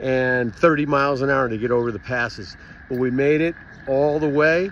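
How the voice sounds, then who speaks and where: A man talks at a moderate pace with ordinary pitch variation, in a dry sound with no echo over light background noise. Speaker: road trip vlogger. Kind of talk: casual vlog update. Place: street. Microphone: phone near.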